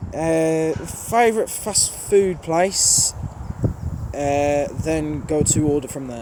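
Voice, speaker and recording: A man's fairly high voice at a very slow pace, with ordinary pitch variation and noticeable background noise. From Birmingham, England. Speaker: train spotter YouTuber. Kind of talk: casual Q&A monologue. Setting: outdoors at a railway station.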